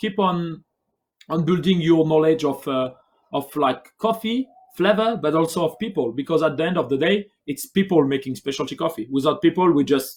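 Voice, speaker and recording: The speaker has a French accent and talks at a fairly quick pace. Pitch varies in an ordinary way. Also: man. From France. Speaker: barista. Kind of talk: livestream interview answer.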